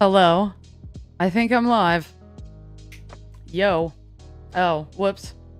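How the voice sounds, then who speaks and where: A woman speaks at a very slow pace with long, frequent pauses, her pitch medium and its variation ordinary. Music plays in the background. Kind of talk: casual live stream talk. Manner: casual, offhand.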